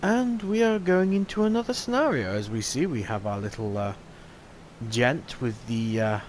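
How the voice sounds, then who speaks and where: A man is speaking. His pace is moderate. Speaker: let's play gamer. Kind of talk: gameplay commentary. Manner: casual, hesitant.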